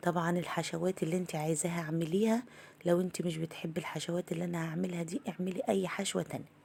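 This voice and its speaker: A woman speaks with a fairly low pitch and a dark, mellow, warm tone, somewhat breathy. Her intonation stays fairly even, with hardly any pauses. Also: fairly quick pace. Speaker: home cook. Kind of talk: cooking tutorial. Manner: warm, chatty.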